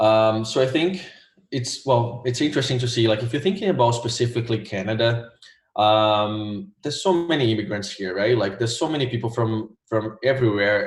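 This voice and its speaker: A speaker with a Portuguese accent sounds somewhat breathy. Pitch varies in an ordinary way. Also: man. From Brazil, Rio de Janeiro. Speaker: graphic designer, former test taker. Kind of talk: interview. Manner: many fillers (um, like).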